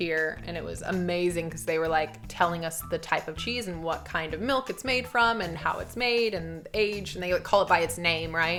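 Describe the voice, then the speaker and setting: Over background music, a woman with an American accent speaks at a moderate pace in a fairly low pitch with lively intonation. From USA. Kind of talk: casual talk to camera.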